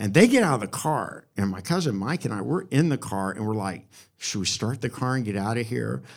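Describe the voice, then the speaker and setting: A man at medium pitch with vocal fry, very wide pitch swings and a fairly quick pace. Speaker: live storyteller. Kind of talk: live storytelling, personal anecdote told to audience. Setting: stage with audience. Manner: animated, wry, recounting a scary teenage ordeal.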